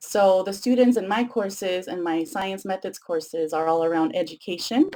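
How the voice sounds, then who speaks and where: A woman talks in a dark, mellow tone with ordinary pitch variation. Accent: Spanish. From Mexico (Tijuana), moved to San Diego at ten. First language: Spanish. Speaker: education professor. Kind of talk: lecture. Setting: webcast.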